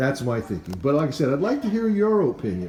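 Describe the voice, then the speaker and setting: Over noticeable background noise, a man speaks with a fairly high pitch and an American accent. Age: 70s. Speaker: car hobbyist / street rod builder. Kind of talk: casual workshop talk to camera. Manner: halting, many fillers.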